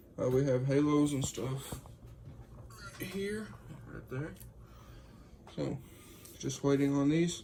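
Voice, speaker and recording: A quiet man at a fairly high pitch and a very slow pace, with long, frequent pauses, audible room echo and noticeable background noise. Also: ordinary pitch variation. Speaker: custom car light builder. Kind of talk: casual video walkthrough.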